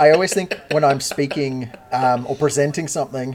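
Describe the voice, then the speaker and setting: A man with an Australian accent talks at a fairly quick pace over noticeable background noise. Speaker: podcast co-host. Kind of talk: casual chat.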